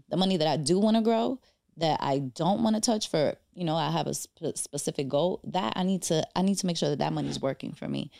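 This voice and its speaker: A woman speaks at a fairly quick pace with a New York accent. The sound is dry and close, with no echo. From New York, the Bronx. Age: 30s. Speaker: financial advisor. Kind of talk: casual chat.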